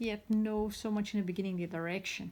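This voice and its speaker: A woman speaks at a fairly high pitch with a non-native accent. The recording is very clean with a silent background. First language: not English. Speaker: tarot reader. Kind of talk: tarot reading monologue. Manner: halting.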